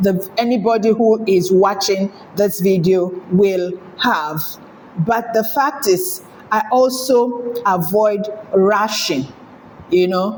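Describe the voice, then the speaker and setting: Against noticeable background noise, a woman speaks at a medium pitch and a very slow pace, with long, frequent pauses, very even loudness and ordinary pitch variation. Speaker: sewing tutorial creator. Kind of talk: tutorial. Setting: home. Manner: clear.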